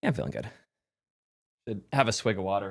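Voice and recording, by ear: A man does a hoarse, put-on character voice at a fairly low pitch. He talks at a very fast pace.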